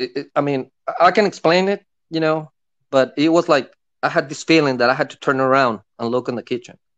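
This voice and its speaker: A man talks at a fairly quick pace in an unremarkable speaking voice, at a fairly high pitch with ordinary pitch variation. The background is quiet. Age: 50s. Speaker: caller sharing paranormal experiences; caller. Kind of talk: casual storytelling. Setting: call-in to a livestream. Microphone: phone line.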